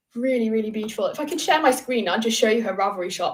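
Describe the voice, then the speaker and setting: Over noticeable background noise, a woman with a fairly high pitch talks very fast with lively intonation. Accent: British. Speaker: crochet designer and YouTuber. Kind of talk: livestream Q&A. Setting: livestream from home.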